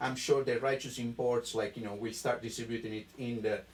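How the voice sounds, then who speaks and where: A man with an Italian accent, over noticeable background noise. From Italy. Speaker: wine importer sales rep. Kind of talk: live-streamed wine tasting chat. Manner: animated, enthusiastic.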